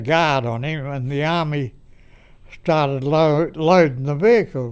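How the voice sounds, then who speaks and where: A man with an Australian accent talks at a fairly high pitch with ordinary pitch variation. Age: 90s. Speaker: war veteran. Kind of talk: interview answer. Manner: hesitant, halting.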